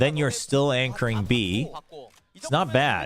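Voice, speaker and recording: Against noticeable background noise, a man with an American accent speaks fairly slowly at a medium pitch, his tone animated and his intonation lively. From US East Coast (Upstate New York), part childhood in Korea. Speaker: esports caster. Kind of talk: live commentary on watch-party stream.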